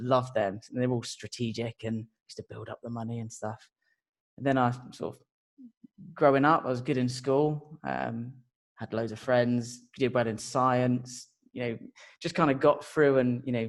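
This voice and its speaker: A man with a southern English accent at medium pitch, fairly even intonation, a moderate pace, long, frequent pauses and big swings in loudness. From southern England (Portsmouth). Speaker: marketing automation consultant. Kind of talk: podcast interview.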